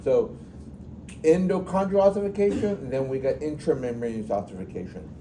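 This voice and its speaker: Amid audible room echo, a man talks at a fairly quick pace with very wide pitch swings. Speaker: anatomy instructor. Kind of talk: classroom lecture. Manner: fast.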